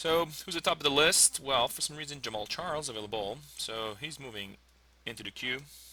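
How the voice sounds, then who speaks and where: A man with a French accent, fairly high pitch, fairly quick pace, lively intonation and a bright, sharp tone. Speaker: fantasy sports player, English teacher. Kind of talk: live commentary of own draft. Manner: hesitant, many fillers.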